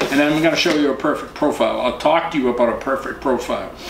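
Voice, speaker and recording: There is audible room echo and noticeable background noise. Through it, a man talks with an American accent. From Boston area, US. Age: 60s. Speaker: professional photographer giving dating advice. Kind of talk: casual tutorial. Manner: casual, halting with fillers.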